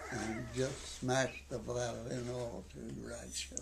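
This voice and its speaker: A man with a western Canadian accent speaks at a medium pitch, with audible room echo and noticeable background noise. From Canadian prairies. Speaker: senior sharing life story. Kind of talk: interview. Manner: halting.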